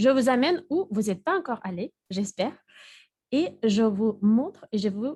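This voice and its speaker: In a Russian accent, a woman with a fairly high, somewhat breathy voice speaks fairly slowly with lively intonation in a dry, close sound with no echo. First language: Russian (speaking French). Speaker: university Russian teacher and quiz presenter. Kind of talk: online lecture. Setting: online video lecture.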